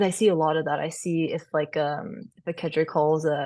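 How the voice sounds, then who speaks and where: A soft-spoken woman talks at a moderate pace with an American accent. The background is quiet. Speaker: former college softball catcher. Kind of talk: podcast interview.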